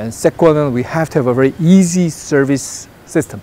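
With a dark, mellow tone and a fairly high pitch, the man talks at a fairly quick pace with ordinary pitch variation.

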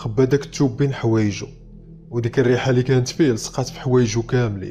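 A man's medium-pitched voice at a moderate pace, with fairly even intonation. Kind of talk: horror story narration.

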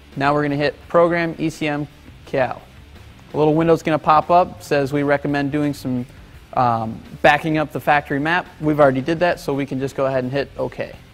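Over faint background music, a man talks at a fairly quick pace in a monotone, flat intonation. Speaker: presenter. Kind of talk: tutorial. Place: workshop.

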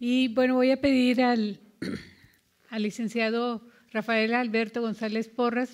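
Her intonation monotone and flat, a woman talks at a fairly slow pace with a fairly high pitch. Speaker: museum event host. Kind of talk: event hosting. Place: hall. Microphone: podium.

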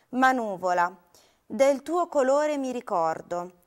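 A high-pitched woman's voice at a very slow pace with very wide pitch swings, over a quiet background. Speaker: poetry reader. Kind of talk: poetry reading aloud, a lyrical elegiac poem addressed to a cloud. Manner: slow, solemn, contemplative, with long pauses and a wistful tone. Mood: calm, melancholic. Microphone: lapel.

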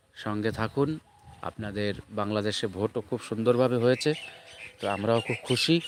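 This man has a normal speaking voice at a medium pitch. His intonation stays fairly even. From West Bengal, Nadia district (Chakdah). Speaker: YouTube vlogger. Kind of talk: casual vlog narration. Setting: outdoors at a temple grounds.

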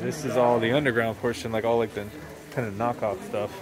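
A man speaks at a moderate pace in a dry sound with no echo, with crowd noise in the background. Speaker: travel vlogger. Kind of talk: casual vlog chat. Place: shop. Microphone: phone near.

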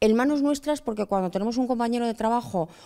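The background is quiet. A woman talks with ordinary pitch variation. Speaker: professor. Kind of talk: lecture-style interview. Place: hall. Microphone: handheld.

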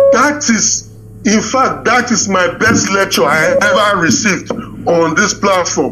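Music plays behind a man with a high pitch and lively intonation. He speaks at a fairly slow pace with very even loudness. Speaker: caller. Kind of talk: call-in question.

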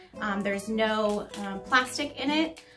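Clear music sounds in the background. Over it, a woman talks. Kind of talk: product show-and-tell explanation. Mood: friendly, upbeat. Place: office.

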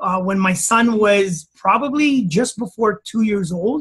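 A man speaks at a very slow pace with a high pitch. His pitch varies in an ordinary way. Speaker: health practitioner and educator. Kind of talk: interview. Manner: talkative.

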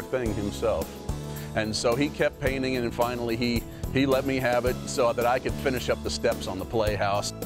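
Music plays behind a man speaking at a moderate pace. His medium-pitched voice swings very widely in pitch. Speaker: parent customer giving testimonial. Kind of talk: infomercial customer testimonial. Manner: casual, hesitant.

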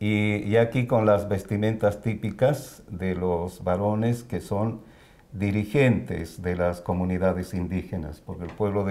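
At a fairly slow pace, a man talks in a fairly low pitch with a dark, mellow tone and ordinary pitch variation. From Bolivia, La Paz. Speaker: immigrant. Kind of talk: interview. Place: home room. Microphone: lapel.

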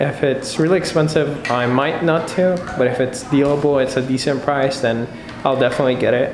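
Noticeable background noise sits under this recording. A man speaks at a moderate pace with fairly even intonation. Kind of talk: casual vlog chat. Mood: nervous, anxious. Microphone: phone near.

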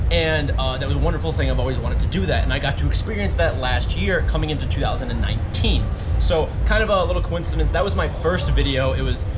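Music plays in the background as a man talks. He goes very fast, with hardly any pauses. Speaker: travel vlogger. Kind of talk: casual vlog chat. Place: boat. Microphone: phone near.

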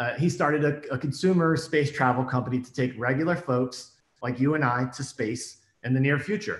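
Somewhat breathy, a man talks at a fairly quick pace with ordinary pitch variation, with audible room echo over a quiet background. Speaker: documentary filmmaker; storyteller. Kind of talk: personal storytelling. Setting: remote video stream from home. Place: home room. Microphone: webcam.

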